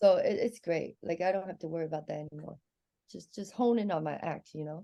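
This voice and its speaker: A woman speaks at a very fast pace in a dark, mellow tone with fairly low pitch. Her pitch varies in an ordinary way. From Hong Kong, then Seattle from age 12. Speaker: stand-up comedian. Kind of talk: casual chat.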